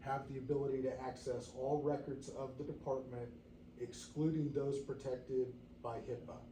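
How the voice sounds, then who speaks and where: Audible room echo surrounds a man speaking in a flat monotone. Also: medium pitch for a man, moderate pace. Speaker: fire district board member. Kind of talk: public meeting discussion. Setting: board meeting room. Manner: halting, many fillers.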